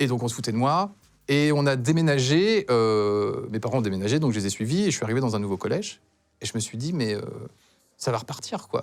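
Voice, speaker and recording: A man talks at a fairly quick pace and a medium pitch, his intonation lively. The recording is very clean, with a silent background. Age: 40s. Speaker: talk show guest. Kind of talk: testimony. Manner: halting.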